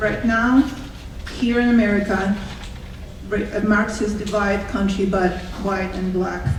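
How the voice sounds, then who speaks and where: Amid noticeable background noise and audible room echo, a woman speaks at a fairly slow pace with fairly even intonation and long, frequent pauses. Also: medium pitch for a woman. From Russia. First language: Russian. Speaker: public commenter at school board meeting. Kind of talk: public comment speech. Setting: school board meeting with audience.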